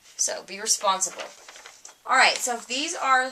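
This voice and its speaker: A woman talks over noticeable background noise. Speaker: teacher. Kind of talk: recorded lecture.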